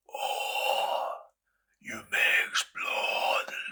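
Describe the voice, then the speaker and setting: A man puts on a character voice. It sounds raspy. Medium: read story. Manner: slow, cryptic, mocking.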